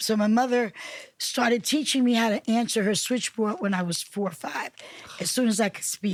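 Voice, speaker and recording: An unremarkable speaking voice from a woman with an American accent, fairly high in pitch with ordinary variation, in a dry, close sound with no echo. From Newark, New Jersey. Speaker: city council member and minister. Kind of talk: interview.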